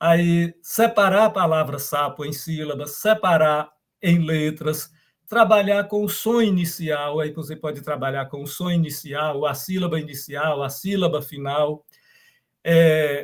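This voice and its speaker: The man's voice sits fairly high, with ordinary pitch variation. He talks at a fairly slow pace. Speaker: professor. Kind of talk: lecture. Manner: halting.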